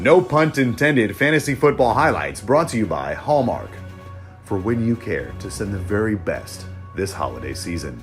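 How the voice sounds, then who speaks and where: A man speaks at medium pitch and a moderate pace, his pitch swinging very widely, with music playing in the background. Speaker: aspiring sportscaster. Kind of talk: sports highlights broadcast voice-over.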